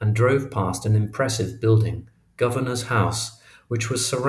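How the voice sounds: Fairly even intonation in a natural reading voice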